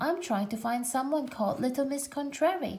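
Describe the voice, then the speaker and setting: A woman performs a put-on character voice at a high pitch. Her pace is moderate and her pitch variation ordinary. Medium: read story. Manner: polite, confused.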